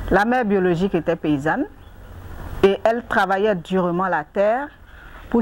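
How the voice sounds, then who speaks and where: A woman is speaking with an Ivorian accent. Her pace is fairly slow. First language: Anyi (speaking French). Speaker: NGO president and agricultural entrepreneur. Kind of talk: interview.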